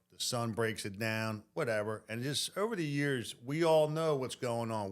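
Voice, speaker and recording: In a very clean recording with a silent background, a man with a normal speaking voice talks at a fairly slow pace with ordinary pitch variation. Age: 60s. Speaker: plumber. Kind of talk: casual chat.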